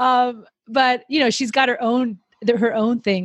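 A woman with an American accent and an unremarkable speaking voice has fairly high pitch and ordinary pitch variation. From Miami, Florida. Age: 30s. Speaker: podcast host. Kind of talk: casual chat.

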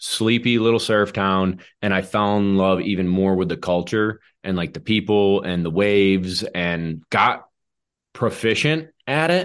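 At a fairly slow pace, a man with a fairly low pitch and ordinary pitch variation speaks over a quiet background. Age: 30s. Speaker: retriever dog trainer and podcast host. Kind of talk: casual chat. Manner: animated.

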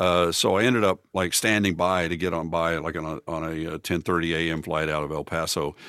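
In a very clean recording with a silent background, a man with a very deep, low pitch and a bright, sharp tone speaks at a fairly quick pace with fairly even intonation and hardly any pauses. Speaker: photographer and song parody producer. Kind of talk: casual chat.

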